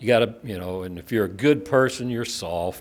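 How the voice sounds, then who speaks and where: The speech moves at a moderate pace with lively intonation over noticeable background noise. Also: man. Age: old. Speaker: former college baseball coach. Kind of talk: ceremony speech. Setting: stage with audience. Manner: halting.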